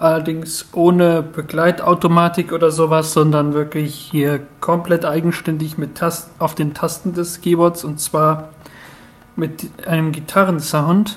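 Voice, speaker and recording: Fairly slow, monotone speech with flat intonation over noticeable background noise. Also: man, fairly high pitch for a man. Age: 20s. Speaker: contestant in an online talent show. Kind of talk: self-introduction of a recorded entry.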